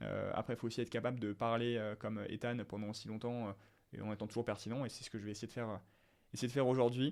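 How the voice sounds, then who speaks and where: Rattling along at a very fast pace, a man speaks at a medium pitch with fairly even intonation in a very clean recording with a silent background. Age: 20s. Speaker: entrepreneur, business content creator. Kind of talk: solo podcast monologue. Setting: alone in front of camera. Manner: hesitant, many fillers; casual, unscripted.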